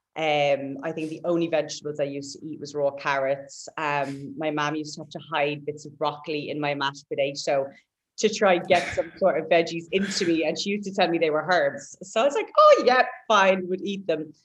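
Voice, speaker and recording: At a fairly quick pace, a woman with a Waterford Irish accent speaks in a very deep, low pitch, with ordinary pitch variation, big swings in loudness and a quiet background. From Ireland, Waterford. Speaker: personal trainer and bodybuilder. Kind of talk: casual chat.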